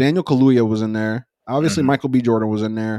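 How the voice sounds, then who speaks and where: A dark, mellow tone at a very fast pace over a quiet background. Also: man. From United States. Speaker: podcast co-host. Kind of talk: casual chat. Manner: animated.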